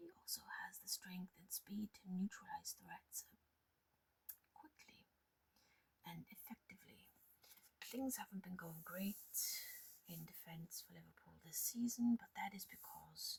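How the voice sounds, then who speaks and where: A soft-spoken woman with a relaxed tone talks at a fairly slow pace, leaving long, frequent pauses. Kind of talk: ASMR show and tell ramble; casual talk to camera. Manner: soft-spoken, relaxed.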